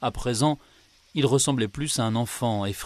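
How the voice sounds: A natural reading voice and its ordinary rise and fall in pitch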